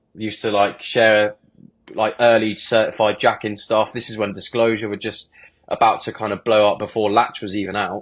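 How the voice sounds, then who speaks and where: Over a quiet background, a man with fairly low pitch talks at a fairly quick pace in a monotone, flat delivery. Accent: southern English. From southern England (Bournemouth). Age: 20s. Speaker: DJ and music producer. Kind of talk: podcast interview.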